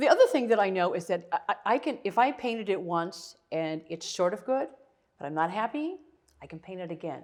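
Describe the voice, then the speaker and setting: With a Midwestern US accent, a woman at medium pitch speaks at a fairly quick pace, showing very wide pitch swings and big swings in loudness. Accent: US Midwest. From northern Ohio, US. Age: 70s. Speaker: artist. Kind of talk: interview.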